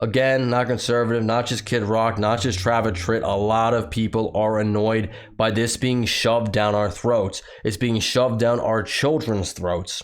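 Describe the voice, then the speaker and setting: A man with an ordinary speaking voice talks at a moderate pace and a medium pitch. His intonation is fairly even, and his loudness stays very even. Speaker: political commentary youtuber; factory worker. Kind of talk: commentary reading news with sarcastic asides.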